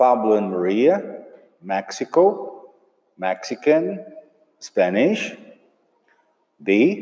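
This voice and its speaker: Very slow, medium-pitched speech from a man with a Portuguese accent, full of very wide pitch swings and long, frequent pauses. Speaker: English teacher. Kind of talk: tutorial.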